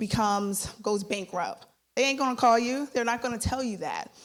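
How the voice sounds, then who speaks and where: With a normal speaking voice, a woman talks at a moderate pace using fairly even intonation. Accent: American. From Philadelphia, US. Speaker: startup founder. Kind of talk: sales pitch.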